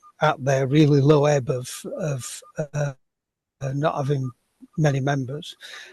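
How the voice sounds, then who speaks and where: With a Sheffield accent, a man speaks slowly in a somewhat breathy, dark, mellow tone, at a fairly high pitch with monotone, flat intonation. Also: long, frequent pauses. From Sheffield, northern England. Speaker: workshop participant, sword dancer. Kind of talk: audience question. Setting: video call. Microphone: cheap headset, no video.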